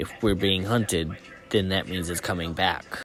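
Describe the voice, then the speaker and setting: A put-on character voice. It stays monotone, with flat intonation. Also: man, very deep, low pitch for a man, moderate pace. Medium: audio drama.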